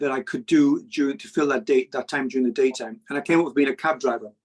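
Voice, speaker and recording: A man's fairly high-pitched voice with lively intonation, in a dry, close sound with no echo. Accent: English. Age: 60s. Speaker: cab driver and money YouTuber. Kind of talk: interview.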